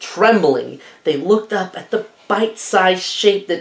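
Unforced reading voice

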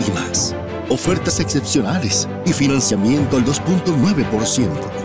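A man at a moderate pace, clear music in the background, dry sound with no echo. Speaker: voice actor. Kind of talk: TV commercial read. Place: studio. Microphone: studio mic.

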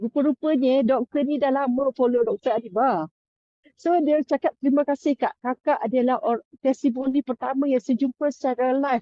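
A woman speaks at high pitch. Her loudness stays very even. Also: ordinary pitch variation, moderate pace. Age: 60s. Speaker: health product seller. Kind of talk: testimony. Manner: halting.

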